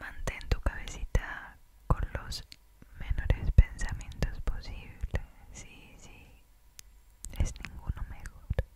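A soft-spoken woman whispers at a very slow pace, with big swings in loudness. Light background noise sits under a dry sound with no echo. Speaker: ASMR creator. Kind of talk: soft-spoken ASMR relaxation talk. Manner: soft close-mic Spanish whisper. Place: home room. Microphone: studio mic.

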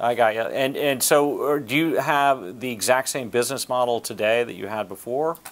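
This man talks at a moderate pace and a medium pitch, with ordinary pitch variation and hardly any pauses. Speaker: interviewer, show host. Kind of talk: interview questions. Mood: friendly, curious. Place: office.

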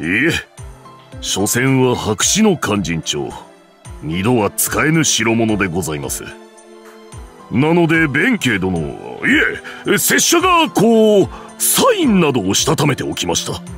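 Put-on character voice from a man, medium pitch, fairly slow pace, clear music in the background. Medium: dub. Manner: formal, polite.

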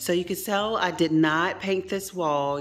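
Faint music sits in the background. A woman speaks with vocal fry and ordinary pitch variation. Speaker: DIY home renovation vlogger. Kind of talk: casual DIY vlog narration. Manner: chatty, somewhat halting with self-corrections. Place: kitchen. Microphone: phone near.

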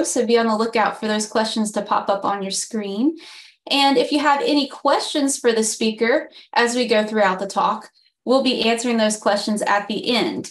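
Over a quiet background, a woman speaks at a moderate pace. Her fairly high voice shows ordinary pitch variation. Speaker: communications director, webinar host. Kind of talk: webinar introduction. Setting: video call. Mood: friendly, upbeat. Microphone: webcam.

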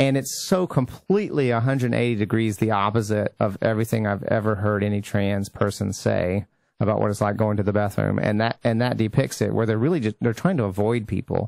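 A man's normal speaking voice, fairly low and fairly quick, with ordinary pitch variation, hardly any pauses, very even loudness, and a very clean recording with a silent background. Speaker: radio show host. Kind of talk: casual chat. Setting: studio.

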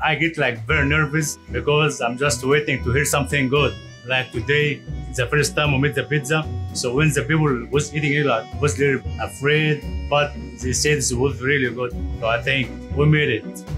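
A man speaks at a moderate pace with lively intonation, clear music playing in the background. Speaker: restaurant chef. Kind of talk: interview answer. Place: kitchen. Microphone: lapel.

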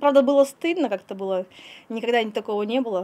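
Her speech moves fairly quickly. The pitch of this woman's voice rises and falls in an ordinary way. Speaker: animal trainer. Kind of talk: interview. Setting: outdoors. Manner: halting. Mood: earnest, slightly embarrassed. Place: farm machine. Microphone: handheld.

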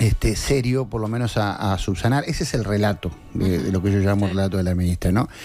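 With a Uruguayan accent, a man talks at a very fast pace in a fairly low voice. His pitch varies in an ordinary way, and faint music plays in the background. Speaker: journalist and news director; journalist, news director. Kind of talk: political commentary on a radio show. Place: studio. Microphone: studio mic.

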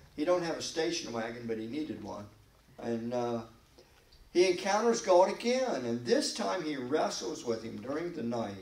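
A man speaks at a moderate pace with very wide pitch swings and audible room echo. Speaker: pastor. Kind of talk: Bible study sermon. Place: church. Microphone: podium.

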